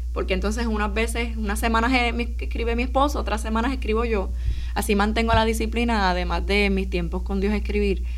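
A woman talks fairly quickly in a very deep, low, flat monotone at a very even loudness. There is noticeable background noise and audible room echo. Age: 20s. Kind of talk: radio interview.

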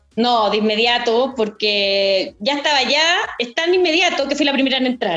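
A woman speaks at a moderate pace with very wide pitch swings, over noticeable background noise. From Chile. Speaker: amateur marathon runner. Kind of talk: casual chat.

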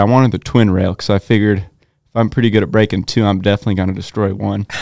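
A man talks at a very fast pace with an American accent. His fairly low voice stays monotone and flat. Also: very clean recording, silent background. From Eastern Oregon, US. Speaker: snowmobiler and electrician apprentice. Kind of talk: casual chat.

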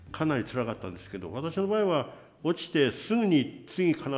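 Fairly high male voice at a moderate tempo, the pitch swinging very widely. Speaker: city council vice chairman. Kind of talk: casual interview.

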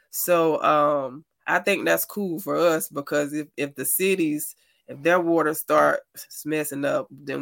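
The speaker has an American accent, a moderate pace and ordinary pitch variation, on a very clean recording with a silent background. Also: woman. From South Carolina. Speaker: military veteran and poet. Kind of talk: interview.

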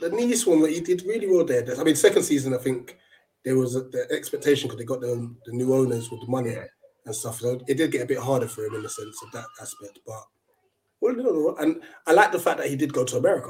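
A man's very fast, fairly high-pitched voice with a London accent, lively intonation and big swings in loudness. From London (Brixton), England. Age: 30s. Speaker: football fan channel host. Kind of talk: casual chat.

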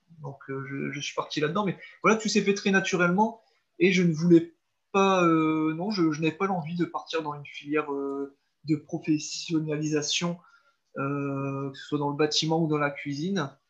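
Fairly high male voice, fairly even in intonation, at a moderate pace. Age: 20s. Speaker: school canteen cook and house renovator. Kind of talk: interview. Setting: call. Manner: halting.

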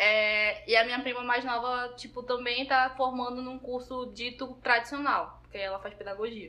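A woman with a high voice and fairly even intonation talks with hardly any pauses while her loudness swings widely. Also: moderate pace. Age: 30s. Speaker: podcast co-host. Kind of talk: casual chat.

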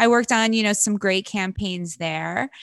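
In a very clean recording with a silent background and a dry, close sound free of echo, a woman with an American accent talks at a medium pitch in a bright, sharp tone, her pitch varying in an ordinary way. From Pennsylvania, Wilkes-Barre. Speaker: music industry manager. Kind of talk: interview.

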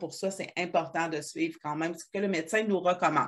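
A woman speaks in a normal speaking voice with a fairly low pitch. Her pace is fairly quick and her intonation fairly even. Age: 40s. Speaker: hair extension technician, wellness consultant, podcast co-host. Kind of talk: casual chat. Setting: her shop, recording at a computer.

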